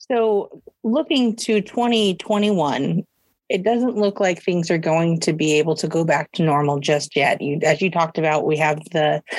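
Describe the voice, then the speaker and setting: With a West Coast accent, a woman speaks at a moderate pace in a fairly low pitch with ordinary pitch variation. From Oregon (Hillsboro). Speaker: nonprofit program assistant. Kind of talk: casual interview chat. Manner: hesitant, with filler words.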